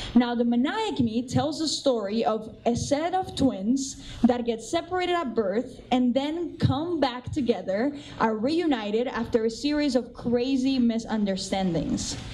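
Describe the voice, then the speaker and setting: A woman with a Cuban accent speaks at a high pitch with lively intonation and an animated tone. Her pace is fairly slow with hardly any pauses, over noticeable background noise. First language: Spanish. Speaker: assistant theatre director. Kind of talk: pre-show talk to audience.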